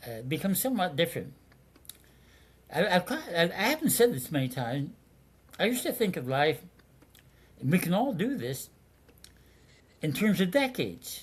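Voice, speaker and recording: An American-accented man at a high pitch, very wide pitch swings, moderate pace and long, frequent pauses. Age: 80s+. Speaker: retired baseball executive. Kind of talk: interview. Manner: halting.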